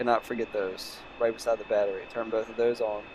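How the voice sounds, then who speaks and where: With a medium pitch, a man speaks at a fairly quick pace. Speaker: flight sim gaming youtuber. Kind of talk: gameplay tutorial. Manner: casual, filler-heavy.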